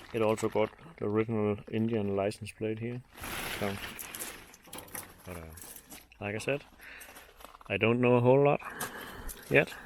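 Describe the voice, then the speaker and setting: A man with a Danish accent talks in a fairly low voice with ordinary pitch variation, big swings in loudness and long, frequent pauses, against noticeable background noise. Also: moderate pace. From Denmark. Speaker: motorcycle hobbyist vlogger. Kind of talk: casual vlog commentary.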